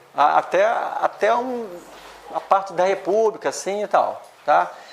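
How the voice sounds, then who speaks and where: A woman at medium pitch and moderate pace, with lively intonation and noticeable background noise. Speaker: spiritist lecturer. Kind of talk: lecture. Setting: spiritist centre, livestreamed. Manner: halting.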